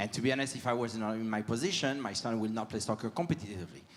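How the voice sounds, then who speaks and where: A man talks at a very fast pace with a French accent. His pitch is medium, with ordinary variation. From France. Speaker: audience member asking a question. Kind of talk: audience question at live panel. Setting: live event with audience. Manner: halting.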